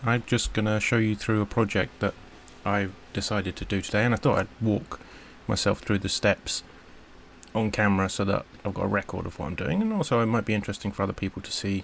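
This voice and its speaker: A man speaks with a British accent in a fairly low pitch. His pace is fairly quick. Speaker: electronics hobbyist maker. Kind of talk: unscripted build log talk to camera. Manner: stuttering, hesitant.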